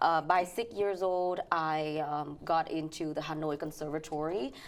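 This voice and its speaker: In a Vietnamese accent, a woman speaks at a fairly slow pace with a very deep, low pitch and fairly even intonation. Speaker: financial educator and pianist. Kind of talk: interview. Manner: halting.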